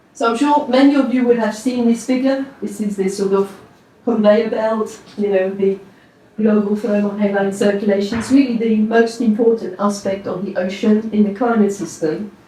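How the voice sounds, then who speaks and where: At a moderate pace, a woman with a slight French accent speaks in a fairly high pitch with fairly even intonation. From France. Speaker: oceanography professor. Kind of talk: presentation to an audience. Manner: relaxed, with frequent fillers.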